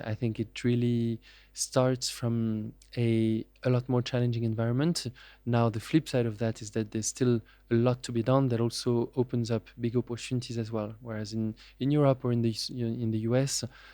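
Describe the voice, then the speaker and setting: Monotone, flat intonation in a dark, mellow tone with a French accent at a moderate pace. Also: man, medium pitch for a man. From France. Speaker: venture capitalist. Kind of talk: interview. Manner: hesitant, many fillers.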